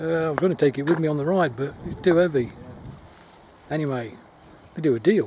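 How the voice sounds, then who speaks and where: Pitch variation here is ordinary. Light background noise can be heard. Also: man, dry sound with no echo. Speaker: cyclist vlogger. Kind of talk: casual vlog chat. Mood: cheerful, upbeat. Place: open country. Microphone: phone near.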